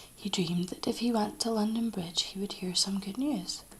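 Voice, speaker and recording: Soft-spoken delivery in a Scottish accent. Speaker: ASMR creator. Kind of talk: bedtime story reading.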